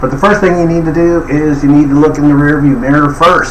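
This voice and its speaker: At a fairly quick pace, a man speaks at medium pitch, with noticeable background noise and audible room echo. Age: 70s. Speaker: life coach. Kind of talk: tutorial. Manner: casual, filler-heavy.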